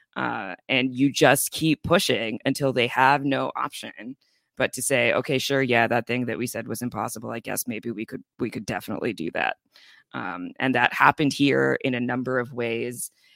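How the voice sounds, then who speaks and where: A man with a medium-pitched voice, a bright, sharp tone and some vocal fry speaks at a moderate pace with ordinary pitch variation, his sound dry and close with no echo on a very clean recording with a silent background. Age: 30s. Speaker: labor organizer. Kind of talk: casual chat.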